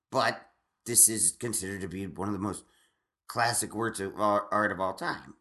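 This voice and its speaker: A man's fairly low voice with a bright, sharp tone, ordinary pitch variation and a moderate pace against a quiet background. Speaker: stand-up comedian. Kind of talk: casual chat. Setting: home recording. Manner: loud; halting.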